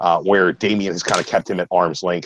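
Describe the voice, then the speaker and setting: The sound is dry and close with no echo as a man talks with an American accent. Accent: slight Baltimore accent, mostly concealed. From US, Baltimore, Maryland. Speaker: comic book reviewer. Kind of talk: casual chat, comic review.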